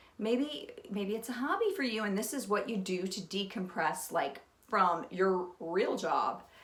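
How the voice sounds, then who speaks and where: A woman's fairly high voice moves through very wide pitch swings. Noticeable background noise and audible room echo accompany her. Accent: American. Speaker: potter and pottery vlogger. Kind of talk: casual talk to camera.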